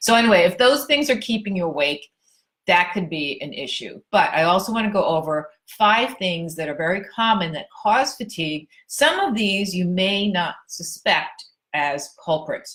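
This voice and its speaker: A woman speaks at a moderate pace with an ordinary speaking voice. Her pitch is medium and her intonation is lively. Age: 60s. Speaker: personal trainer and fitness writer. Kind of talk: casual tutorial to camera. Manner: conversational, informal.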